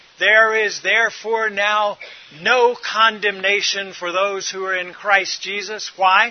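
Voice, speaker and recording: Against noticeable background noise, a man speaks loud and at a fairly slow pace, his pitch high. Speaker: preacher. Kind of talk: sermon.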